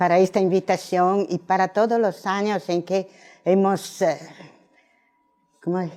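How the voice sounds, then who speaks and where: At a fairly slow pace, a woman with a non-native accent speaks at medium pitch in a dark, mellow tone with fairly even intonation. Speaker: professor. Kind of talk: lecture. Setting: auditorium. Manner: halting.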